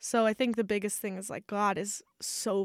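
The woman's medium-pitched voice shows ordinary pitch variation in a very clean recording with a silent background. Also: dry, close sound with no echo. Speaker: podcast co-host. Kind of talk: casual chat. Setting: studio. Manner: loud.

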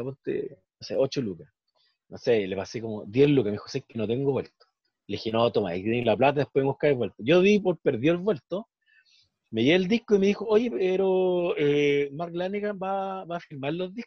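With a Chilean accent, a man talks at a moderate pace, his pitch swinging very widely and his loudness rising and falling sharply. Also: fairly high pitch for a man. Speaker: podcast co-host. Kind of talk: casual chat.

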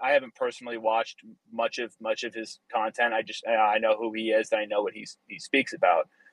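A plain, everyday voice with an American accent moves at a fairly quick pace with fairly even intonation. The sound is dry and close, with no echo. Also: man. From US Northeast. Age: 20s. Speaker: engineer. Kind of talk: casual chat.

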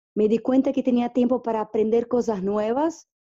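A woman with a Portuguese accent, a dark, mellow tone and fairly high pitch, at a moderate pace. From northeast Brazil. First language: Portuguese (speaking Spanish). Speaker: interviewee, small-town organic farming community member. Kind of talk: interview. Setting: at her home. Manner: halting, many repetitions.

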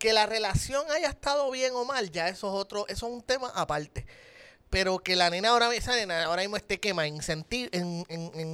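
Raising and projecting his high-pitched voice with a bright, sharp tone, a man with a Puerto Rican accent talks at a fairly quick pace with lively intonation on a very clean recording with a silent background. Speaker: podcast co-host. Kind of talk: casual chat.

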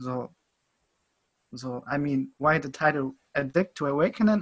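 Speaking at a moderate pace with a German accent, a man has a fairly high pitch and ordinary pitch variation. His voice is somewhat breathy. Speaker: podcast host. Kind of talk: casual interview chat. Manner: halting.

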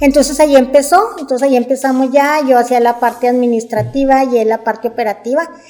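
A woman's high voice at a very fast pace, fairly even in intonation, with hardly any pauses and music in the background. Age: 50s. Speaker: business owner. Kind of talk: interview.

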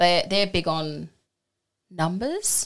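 A woman speaks at a moderate pace with lively intonation in an ordinary speaking voice. The recording is very clean, with a silent background. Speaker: co-host, Reiki practitioner. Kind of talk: casual chat.

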